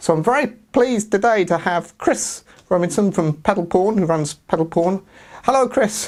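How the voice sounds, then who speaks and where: With an English accent, a man speaks at a moderate pace and a high pitch, with ordinary pitch variation and very even loudness, on a very clean recording with a silent background. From England. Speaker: guitar YouTuber. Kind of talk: interview.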